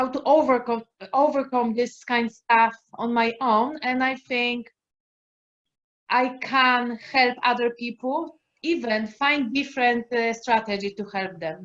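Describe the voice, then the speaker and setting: A woman with a Polish accent speaks at a fairly slow pace in a high voice with ordinary pitch variation. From Poland. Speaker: life coach. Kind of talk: casual chat. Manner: halting.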